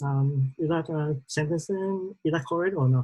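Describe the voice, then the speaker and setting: Speaking fairly slowly with a Vietnamese accent, a woman uses a very deep, low, somewhat breathy voice with a dark, mellow tone. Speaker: trainee. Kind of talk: class presentation. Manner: halting.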